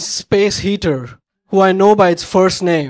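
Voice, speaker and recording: In an Indian accent, a man speaks with a high pitch. His pitch variation is ordinary. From India, Bombay. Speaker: storyteller. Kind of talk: stand-up. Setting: stage with audience.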